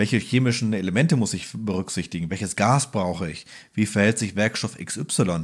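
In a very clean recording with a silent background, a man with a fairly low pitch speaks in a normal speaking voice at a moderate pace with ordinary pitch variation. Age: 30s. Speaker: welding podcast co-host. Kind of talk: casual technical explainer chat.

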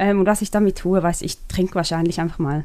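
A woman with an unremarkable speaking voice, at medium pitch. Her pitch varies in an ordinary way. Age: 30s. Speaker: media company CEO, former stage director and dancer. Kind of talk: interview conversation.

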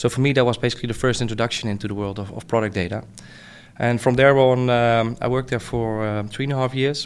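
Very fast speech from a man with a Dutch accent, medium pitch and fairly even intonation, on a very clean recording with a silent background. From Netherlands. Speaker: tech company founder. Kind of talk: interview.

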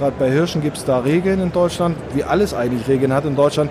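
A man's fairly high voice with a slight northern German accent and ordinary pitch variation, amid noticeable background noise and audible room echo. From northern Germany. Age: middle-aged. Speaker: hunter and hunting filmmaker, police officer. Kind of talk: interview.

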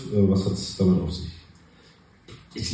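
A man talks at a very fast pace amid noticeable background noise, with audible echo from the room. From Cologne, right bank of the Rhine. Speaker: restaurateur. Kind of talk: casual interview. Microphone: poor recording quality.

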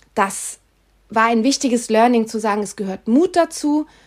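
A fairly slow delivery in an unremarkable speaking voice. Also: woman. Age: 50s. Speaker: podcast host, health and change coach. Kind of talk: solo podcast monologue.

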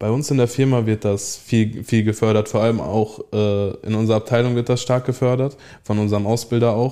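A man with a medium-pitched, dark, mellow voice talks at a moderate pace with very even loudness over a quiet background. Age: young. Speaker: trainee toolmaker. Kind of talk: interview. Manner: halting.

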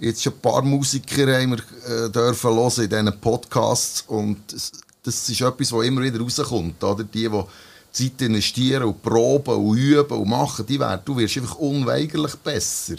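In a plain, everyday voice, a man speaks at a moderate pace and medium pitch with ordinary pitch variation. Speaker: podcast host and musician. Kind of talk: casual chat. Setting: band rehearsal room.

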